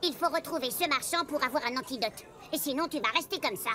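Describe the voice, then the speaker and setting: A woman speaks at a very fast pace and a high pitch, with ordinary pitch variation and very even loudness. Clear background noise is present. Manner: lecturing, sarcastic.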